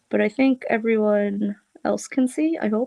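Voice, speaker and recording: A woman speaks with an American accent. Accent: Boston accent, stronger than usual now. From Boston area, US. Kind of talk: live craft tutorial chat. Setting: live stream.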